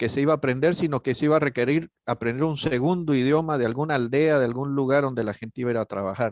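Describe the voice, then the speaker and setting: Ordinary pitch variation comes through in a dry, close sound with no echo. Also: man. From Guatemala. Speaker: missionary. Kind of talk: panel conversation. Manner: hesitant, many fillers.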